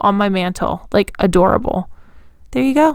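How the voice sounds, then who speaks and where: Here is a woman with an unremarkable speaking voice at a medium pitch. Her intonation is lively. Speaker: DIY craft YouTuber. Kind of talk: tutorial voiceover.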